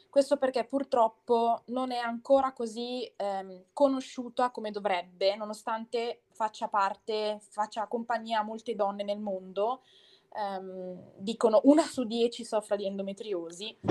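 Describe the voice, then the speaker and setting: A woman speaks at a fairly slow pace with fairly even intonation. The recording is very clean, dry and close with no echo, over a silent background. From Bergamo, northern Italy. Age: 20s. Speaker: podcast guest sharing her illness story. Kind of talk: personal testimony in interview. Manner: determined, assertive.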